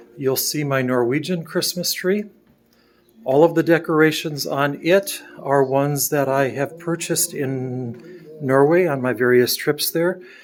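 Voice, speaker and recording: With an American accent, a man speaks at a fairly slow pace in a fairly high pitch with ordinary pitch variation. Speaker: home video tour guide. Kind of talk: home tour narration.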